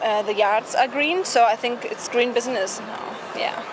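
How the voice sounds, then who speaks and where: Speaking with a German accent over noticeable background noise, a woman has a high pitch, ordinary pitch variation and a moderate pace. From Germany. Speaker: passer-by in costume. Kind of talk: street interview. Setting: outdoors on a street on Halloween. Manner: halting, many fillers.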